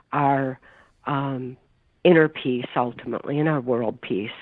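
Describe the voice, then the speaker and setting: A woman with an American accent. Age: 60s. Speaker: mind control survivor and author. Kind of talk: interview.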